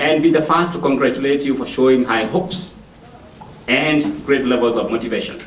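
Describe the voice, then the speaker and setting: With an African accent, a man talks at a fairly quick pace and medium pitch with ordinary pitch variation, amid noticeable background noise and audible room echo. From Kenya. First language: not English. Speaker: motivational speaker. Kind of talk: public speech. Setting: library event with audience.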